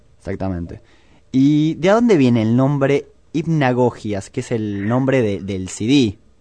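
This man's voice sits at a medium pitch, with a dark, mellow tone and lively intonation. He talks at a fairly slow pace against a quiet background. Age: 20s. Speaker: radio host. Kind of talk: radio interview.

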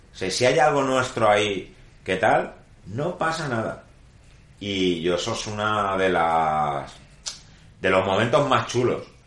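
Amid audible room echo, a man with a fairly low pitch speaks at a very slow pace, his pitch swinging very widely between long, frequent pauses. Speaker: guitar and pickup builder. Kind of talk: interview. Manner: hesitant, many fillers.

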